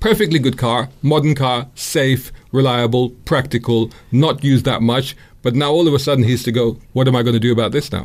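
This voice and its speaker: Speaking in a London accent, a man with a medium pitch keeps a fairly quick pace, fairly even intonation, very even loudness and hardly any pauses, in a very clean recording with a silent background. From London (Islington). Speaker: motoring journalist and YouTuber. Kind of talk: radio interview. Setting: radio studio.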